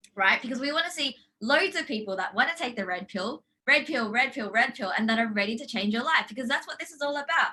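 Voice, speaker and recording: A woman with an Australian accent speaks very fast in a high voice. Her tone is animated and her intonation lively. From Australia, Brisbane. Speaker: life coach. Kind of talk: online workshop.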